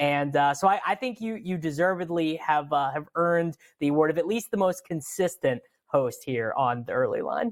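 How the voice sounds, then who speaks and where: The speaker has a Midwestern US accent and a moderate pace. The intonation is lively. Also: man, high pitch for a man. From US Midwest. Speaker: sports betting show host. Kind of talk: sports talk show.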